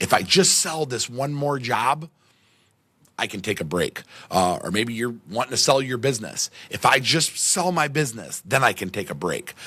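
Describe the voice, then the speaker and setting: Loud and energetic, a man speaks at a moderate pace with a bright, sharp tone and lively intonation, captured in a very clean recording with a silent background. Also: medium pitch for a man. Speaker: podcast host. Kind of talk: motivational monologue.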